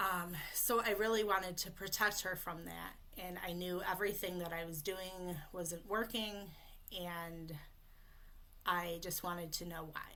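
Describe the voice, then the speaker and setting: Under audible room echo, a woman speaks fairly slowly in a bright, sharp tone at medium pitch with fairly even intonation. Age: 30s. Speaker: voice coach for people who stutter. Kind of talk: live webinar presentation.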